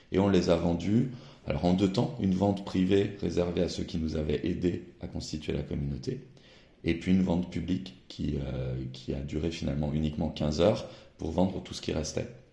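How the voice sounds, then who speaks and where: A man speaks at a moderate pace in a very deep, low pitch, with vocal fry and a dark, mellow tone. His pitch varies in an ordinary way, and audible room echo surrounds the voice. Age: 40s. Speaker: newspaper editor-in-chief. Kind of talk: interview.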